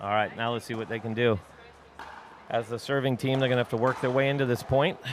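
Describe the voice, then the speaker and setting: Noticeable background noise sits behind a man who speaks at a very fast pace. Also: medium pitch for a man. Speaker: pickleball commentator and coach. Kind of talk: live commentary. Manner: animated.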